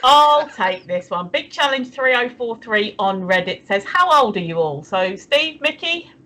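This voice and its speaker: A woman with an English accent, fairly high in pitch with very wide pitch swings and a bright, sharp tone, at a fairly slow pace with hardly any pauses. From England. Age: 50s. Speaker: livestream co-host. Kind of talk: casual chat. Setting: livestream.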